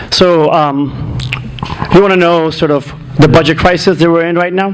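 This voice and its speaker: Noticeable background noise sits behind a man's voice. His pitch is high and his intonation fairly even. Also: moderate pace. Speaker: political candidate. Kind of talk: candidate forum debate answers. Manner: informal with many fillers and restarts. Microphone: muffled sound, volume adjusted.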